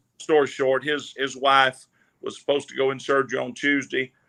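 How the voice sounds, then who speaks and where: Fairly quick speech from a man at a medium pitch. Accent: Southern US. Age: 60s. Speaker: gospel singer and online minister. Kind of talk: casual chat.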